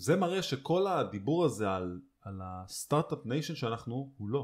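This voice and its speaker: Using very wide pitch swings, a man speaks with vocal fry. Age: 30s. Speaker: podcast co-host. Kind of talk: casual chat.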